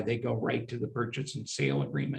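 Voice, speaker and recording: A man's somewhat breathy voice at medium pitch. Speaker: securities attorney and former syndicator. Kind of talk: interview.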